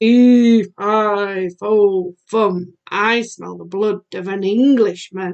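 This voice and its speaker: Putting on a booming character voice, a woman speaks at a medium pitch and a very slow pace with hardly any pauses. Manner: bellowing, booming.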